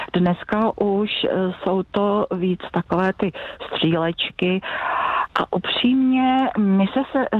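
There is clear noise in the background. Against it, a female speaker's pitch moves in a normal way. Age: 60s. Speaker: secondary school science teacher. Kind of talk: phone interview. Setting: phone call.

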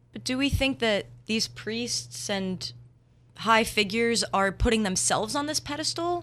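A woman with an American accent speaks in a fairly high, bright, sharp voice with vocal fry. Her intonation is lively, and the recording is very clean with a silent background. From New Jersey. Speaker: university student. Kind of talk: casual chat.

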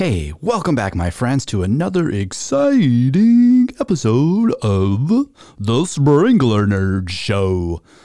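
A man puts on a character voice with very wide pitch swings. He speaks at a very slow pace and a medium pitch. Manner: nerdy.

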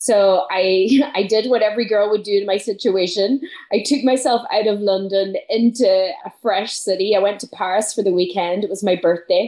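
Hardly pausing, a woman with an Irish accent talks at a moderate pace in a medium pitch. Her tone is dark and mellow, and her intonation is fairly even. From northwest Ireland. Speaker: business mentor and speaker. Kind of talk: casual interview.

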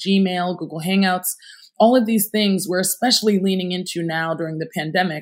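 A woman's unremarkable speaking voice at a moderate pace, with fairly even intonation. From upstate New York, US. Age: 30s. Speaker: entrepreneur. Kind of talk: interview.

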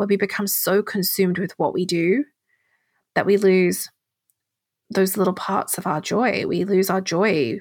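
With an English accent, a woman speaks at medium pitch with vocal fry. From England. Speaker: podcast host. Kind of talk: solo podcast monologue.

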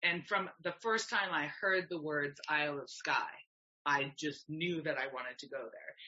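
At a moderate pace, a woman speaks in a normal speaking voice, fairly low in pitch with ordinary pitch variation. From Canada. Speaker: yoga teacher and herbalist. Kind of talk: casual interview chat.

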